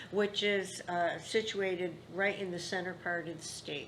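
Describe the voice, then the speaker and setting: With an American accent, the speaker talks at a fairly slow pace amid audible room echo. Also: woman. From Upstate New York (Rome, NY). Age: 80s+. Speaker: grandmother interviewee. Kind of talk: family oral history interview.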